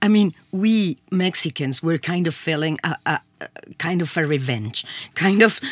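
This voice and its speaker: A woman with a Spanish accent speaks at a medium pitch with very wide pitch swings. The recording is very clean with a silent background and a dry, close sound with no echo. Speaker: sociology professor. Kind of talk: discussion. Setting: studio. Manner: halting.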